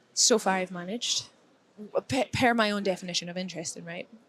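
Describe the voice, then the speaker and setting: A woman speaks with a Dundee accent. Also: long, frequent pauses. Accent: Scottish (Dundee). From Scotland, Dundee. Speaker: security professional, conference speaker. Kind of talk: casual chat. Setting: conference hallway.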